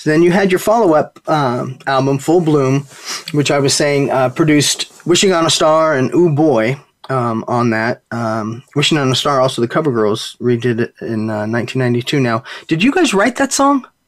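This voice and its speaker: A man's plain, everyday voice, fairly high in pitch, at a moderate pace with lively intonation. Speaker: radio show host. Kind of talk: radio DJ patter, upbeat show intro and sign-off. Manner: warm, polished, upbeat broadcaster cadence with friendly filler.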